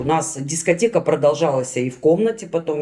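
A woman with a very deep, low pitch and a dark, mellow tone speaks at a moderate pace with lively intonation. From Russia, Magnitogorsk (Chelyabinsk region). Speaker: former prisoner. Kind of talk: personal testimony interview.

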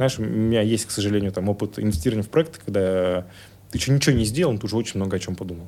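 Very fast and fairly low-pitched, a man talks with a dark, mellow tone and ordinary pitch variation. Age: 30s. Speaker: tech entrepreneur. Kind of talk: interview conversation.

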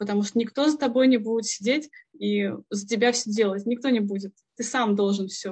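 A woman with a fairly high, somewhat breathy voice talks at a fairly quick pace. Her intonation is fairly even. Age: 30s. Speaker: former accountant turned programmer. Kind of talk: interview.

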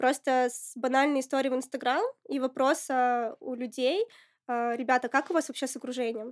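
At a high pitch, a woman talks at a fairly quick pace with fairly even intonation. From Russia, Murmansk region (Apatity). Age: 20s. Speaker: entrepreneur, founder of a women's community. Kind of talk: casual interview.

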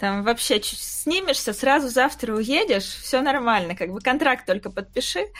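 Here a woman speaks with a high pitch and lively intonation. Her pace is moderate. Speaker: invited expert on the fantasy books. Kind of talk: casual chat. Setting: video call.

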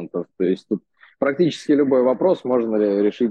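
With an unremarkable speaking voice, a man talks at a moderate pace using lively intonation. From Russia. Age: 20s. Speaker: expat in India. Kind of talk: interview. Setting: remote call.

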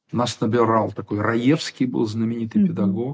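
A man speaks in an unremarkable speaking voice at a medium pitch. His intonation is lively. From Ukraine, Kyiv. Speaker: theatre director and drama teacher. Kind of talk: interview. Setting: studio.

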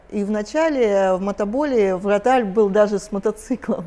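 Speaking at a fairly slow pace, a woman has a dark, mellow tone, a medium pitch and ordinary pitch variation. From Russia, Kislovodsk (North Caucasus). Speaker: sports doctor. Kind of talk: casual chat.

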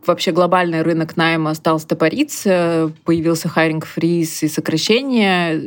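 A woman's ordinary speaking voice, fairly low in pitch and fairly slow, with fairly even intonation, on a very clean recording with a silent background. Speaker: recruitment agency founder. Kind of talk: interview.

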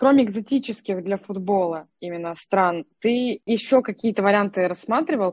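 A woman speaks in a normal speaking voice at a medium pitch. Her pace is moderate, with ordinary pitch variation and hardly any pauses. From Russia, Nalchik (Kabardino-Balkaria). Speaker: podcast co-host, digital manager. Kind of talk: interview.

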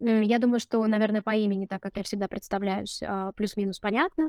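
In a very clean recording with a silent background, a woman with a fairly high voice speaks with fairly even intonation, the sound dry and close with no echo. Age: 30s. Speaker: case manager at a domestic violence charity. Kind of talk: interview.

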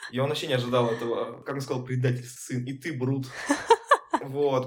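Speech comes at a very fast pace in a monotone, flat intonation, with audible room echo and noticeable background noise. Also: man. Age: 20s. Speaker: laser tag player and friend of host. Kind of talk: casual chat.

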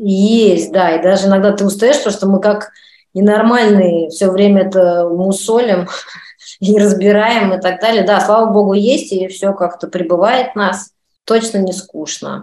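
This woman has a medium-pitched voice with a dark, mellow tone. She speaks at a fairly slow pace with fairly even intonation. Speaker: actress and director. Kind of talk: interview.

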